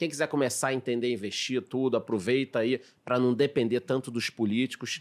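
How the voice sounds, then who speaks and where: In a very clean recording with a silent background, a man with a normal speaking voice and medium pitch talks at a fairly quick pace, his loudness very even and his intonation fairly even. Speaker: podcast host. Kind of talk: casual chat. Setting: studio.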